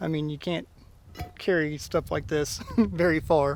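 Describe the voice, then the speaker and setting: The man's voice sits fairly high in pitch. His pitch varies in an ordinary way. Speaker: outdoor vlogger. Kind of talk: casual vlog narration. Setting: outdoors, winter campsite.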